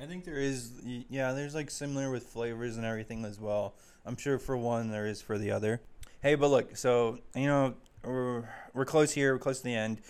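A man with an unremarkable speaking voice talks at a fairly quick pace in an American accent, his pitch medium and intonation fairly even, on a very clean recording with a silent background. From Arizona (Chandler). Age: 20s. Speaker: podcast co-host. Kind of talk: casual chat.

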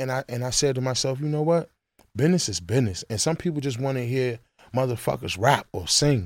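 With an American accent, a man talks at a fairly quick pace in an ordinary speaking voice, medium in pitch with lively intonation, on a very clean recording with a silent background. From Washington DC (Northeast). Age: 30s. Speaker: rapper. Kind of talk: casual interview.

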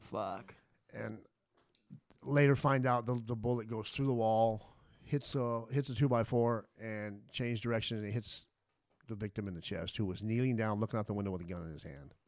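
An unremarkable speaking voice with an American accent, at a moderate pace with ordinary pitch variation. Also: man, medium pitch for a man. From Las Vegas, Nevada. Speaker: former prisoner. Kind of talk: interview, life story.

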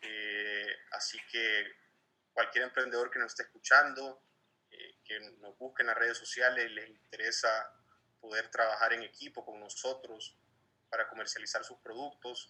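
Fairly unhurried male speech, loudness rising and dropping sharply. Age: 20s. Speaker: entrepreneur. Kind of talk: interview.

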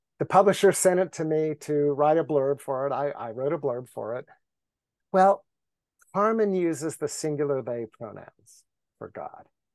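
In an ordinary speaking voice, a man talks at a moderate pace with a fairly high pitch and ordinary pitch variation, his loudness swinging widely. The sound is dry and close with no echo, and the background is quiet. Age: 60s. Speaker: contemplative teacher and spiritual writer. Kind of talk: casual interview conversation.

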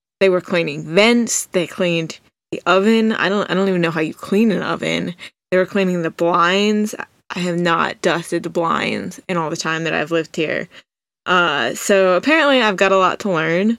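At a moderate pace, a woman speaks in an unremarkable speaking voice, fairly low in pitch with ordinary pitch variation. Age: 20s. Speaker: podcast host. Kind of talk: solo monologue. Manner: casual, conversational.

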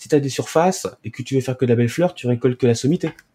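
Medium-pitched and dark, mellow in tone, a man speaks with ordinary pitch variation. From Paris region, raised in Charente-Maritime from about age 10. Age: 30s. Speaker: hemp association president and grower. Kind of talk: interview. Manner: halting, with repetitions.

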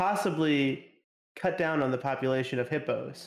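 A man with a plain, everyday voice talks at a moderate pace, his fairly high pitch showing ordinary pitch variation. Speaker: podcast co-host. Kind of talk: casual chat.

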